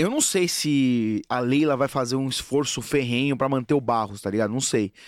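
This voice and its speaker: In a very clean recording with a silent background, a man with a medium-pitched voice and an animated tone talks at a moderate pace, his pitch varying in an ordinary way. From Brazil, Guarulhos (São Paulo). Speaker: football fan influencer. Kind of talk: casual chat.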